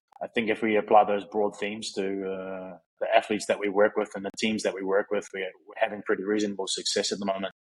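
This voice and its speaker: A man's fairly low voice, flat and monotone, at a fairly quick pace. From New Zealand, South Auckland. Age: 30s. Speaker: physio and strength coach. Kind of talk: interview.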